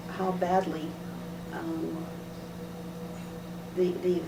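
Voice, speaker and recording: A woman with a fairly low pitch speaks in a monotone, flat intonation over noticeable background noise. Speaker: high school secretary. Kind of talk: interview answer, recalling the 1960s for a student project. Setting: school interview, recorded on video.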